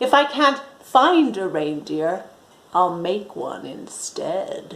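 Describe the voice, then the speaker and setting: A woman puts on a growling character voice at a medium pitch. She speaks at a very slow pace with big swings in loudness. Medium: read story. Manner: snarling, sneering.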